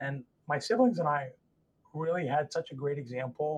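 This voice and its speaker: Somewhat breathy and fairly high-pitched, a man with an American accent speaks at a moderate pace with fairly even intonation, the sound dry and close with no echo. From US, Northern Virginia. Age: 40s. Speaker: trauma surgeon. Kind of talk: interview.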